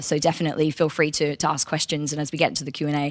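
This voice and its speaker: Talking at a very fast pace, this woman has a very deep, low pitch. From Australia. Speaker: recruitment marketing lead. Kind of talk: conference presentation.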